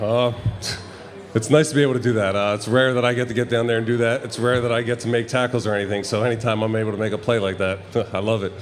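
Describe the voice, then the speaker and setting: Speaking at a very fast pace with an American accent, the voice keeps a fairly even intonation. Noticeable background noise runs underneath. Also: man, medium pitch for a man. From South Jersey, US (Jersey Shore). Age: 20s. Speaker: professional football player. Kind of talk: casual interview chat. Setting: live show with audience in a bar.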